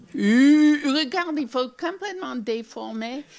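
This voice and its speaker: This is a woman speaking with an American accent. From US Northeast (Newark, New Jersey). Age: 70s. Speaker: children's author. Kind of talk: interview with audience Q&A. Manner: halting, repeats words.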